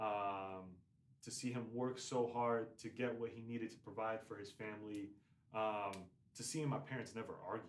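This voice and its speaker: Heard with audible room echo, a man of medium pitch speaks at a moderate pace with fairly even intonation. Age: 20s. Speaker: semi-professional soccer player. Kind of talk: casual chat. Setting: podcast.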